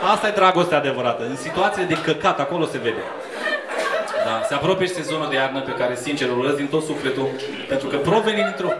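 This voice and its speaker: Over loud background noise, the words come at a very fast pace. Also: man. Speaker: stand-up comedian. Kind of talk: stand-up comedy crowd work. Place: bar.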